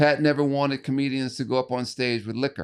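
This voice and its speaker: Against a quiet background, a man with an American accent speaks fairly quickly in a fairly high pitch with fairly even intonation. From US Midwest (East St. Louis, Illinois). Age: 60s. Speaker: stand-up comedian, former juvenile detention worker. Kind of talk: casual podcast interview. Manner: halting, repeats words.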